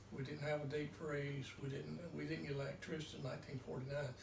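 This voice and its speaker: A man with a North Carolina accent speaks at a fairly high pitch in a monotone, flat way. Room echo and noticeable background noise are audible. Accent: Southern US, North Carolina. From US South, North Carolina (Mount Pleasant). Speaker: farmer. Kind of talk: interview.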